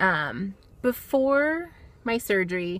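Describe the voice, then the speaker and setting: A woman's fairly high-pitched voice, bright and sharp in tone, with lively intonation. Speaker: weight loss surgery vlogger. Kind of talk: personal video diary. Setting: in a car. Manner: fast.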